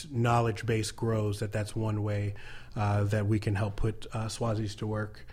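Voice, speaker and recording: Speaking at a moderate pace with an American accent, a man with a fairly low pitch for a man sounds somewhat breathy and flat, monotone in intonation, amid audible room echo. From US. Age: 30s. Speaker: nonprofit co-founder, military veteran. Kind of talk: interview. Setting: studio.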